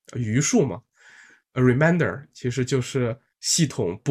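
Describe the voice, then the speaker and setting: A man is speaking. His voice is somewhat breathy. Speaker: architect hosting a poetry contest livestream. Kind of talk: livestream talk and poem reading. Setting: online meeting livestream. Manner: hesitant, many fillers.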